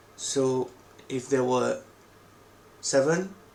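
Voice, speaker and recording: Speaking with a non-native accent, a man keeps his intonation fairly even. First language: not English. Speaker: coding tutorial creator. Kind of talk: tutorial.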